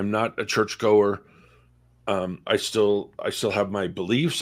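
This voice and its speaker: A normal speaking voice from a man, fairly low in pitch and fairly slow, in a very clean recording with a silent background. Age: 60s. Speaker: discussion guest. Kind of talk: casual discussion. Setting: livestream.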